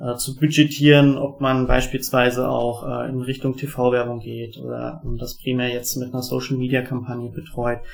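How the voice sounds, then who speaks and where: This man speaks at a moderate pace. His medium-pitched voice has monotone, flat intonation. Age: 30s. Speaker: board game product developer. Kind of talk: interview. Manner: many filler sounds.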